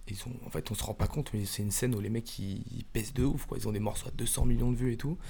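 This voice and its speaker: A man's fairly low, dark, mellow voice shows vocal fry as he talks at a very fast pace with hardly any pauses and ordinary pitch variation. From western Paris suburbs. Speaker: rapper in a music group. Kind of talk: casual interview.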